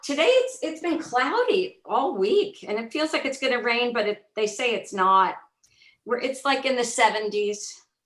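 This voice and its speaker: A high-pitched woman with a New Jersey accent, very wide pitch swings and a moderate pace. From North Jersey, US. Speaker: former special education teacher. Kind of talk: casual chat.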